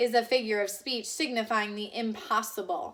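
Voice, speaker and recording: A woman in a put-on character voice, fairly high pitch, ordinary pitch variation and moderate pace. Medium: read story. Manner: curt, disapproving.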